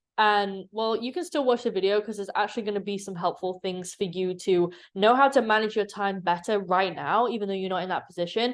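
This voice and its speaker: A woman talks at a fairly quick pace with hardly any pauses, at medium pitch in an animated tone. The background is quiet. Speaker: business coach YouTuber. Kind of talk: tutorial. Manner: fast; casual, animated.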